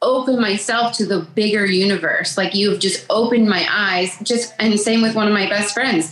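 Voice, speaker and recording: A woman at a medium pitch keeps very even loudness and ordinary pitch variation, with hardly any pauses, over noticeable background noise. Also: moderate pace. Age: 30s. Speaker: stay-at-home mom and makeup artist. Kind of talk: interview, personal testimony. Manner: halting.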